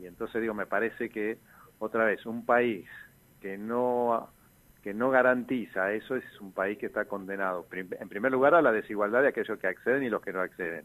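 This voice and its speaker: At a moderate pace, a man talks at medium pitch with ordinary pitch variation and big swings in loudness. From Argentina, Posadas (Misiones). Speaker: university professor and political candidate. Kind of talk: radio interview. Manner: halting, with repetitions.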